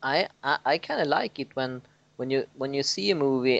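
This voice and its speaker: A man with a Swedish accent talks at a moderate pace in a medium-pitched voice. The sound is dry and close with no echo, over a quiet background. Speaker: podcast co-host. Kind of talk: casual chat. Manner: halting.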